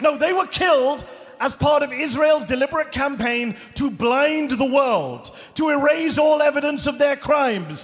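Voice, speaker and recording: A man's extremely high voice at a moderate pace, fairly even in intonation, with noticeable background noise. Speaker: journalist. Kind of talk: live rally speech. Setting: large arena with live audience. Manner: emotional, impassioned.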